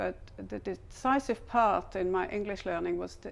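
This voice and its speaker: This woman speaks with a German accent. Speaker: language learning materials developer. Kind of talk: scripted interview.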